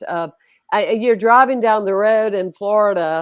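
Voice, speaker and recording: Over a quiet background, a woman with an American accent speaks with ordinary pitch variation. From US South. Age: 60s. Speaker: spiritual leader. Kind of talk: interview conversation.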